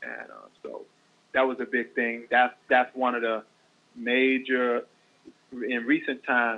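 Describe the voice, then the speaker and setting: Speaking at a fairly slow pace, a man with a Southern US accent uses a medium pitch. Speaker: radio show guest. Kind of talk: radio interview.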